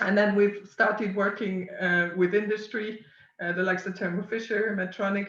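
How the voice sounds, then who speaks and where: The speaker has a French accent. The pace is moderate. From France. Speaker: science communication company founder. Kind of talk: webinar presentation. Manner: hesitant, many fillers.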